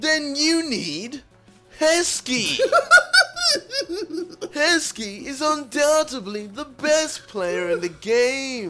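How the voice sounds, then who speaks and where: A woman's put-on character voice, high-pitched and nasal, at a very slow pace over faint background music. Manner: hyped advert voice.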